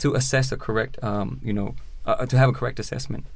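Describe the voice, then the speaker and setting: With an American accent, a man talks at a very fast pace and a medium pitch, with vocal fry. His pitch moves in an ordinary way. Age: 30s. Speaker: prison reform advocate, formerly incarcerated. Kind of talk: interview, personal testimony.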